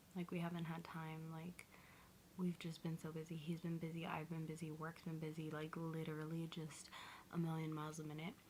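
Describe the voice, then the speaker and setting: The speaker sounds somewhat breathy and keeps a monotone, flat intonation at a fairly quick pace. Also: woman. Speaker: lifestyle vlogger. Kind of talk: casual vlog talk. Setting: at home.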